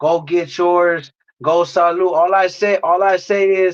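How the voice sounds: A man speaks with a high pitch and fairly even intonation. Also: fairly slow pace.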